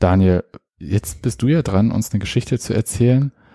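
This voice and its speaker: A man with a fairly low pitch speaks in a dark, mellow, somewhat breathy tone with ordinary pitch variation. The sound is dry and close, with no echo. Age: older than co-host. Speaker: podcast co-host. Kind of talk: casual chat. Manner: halting.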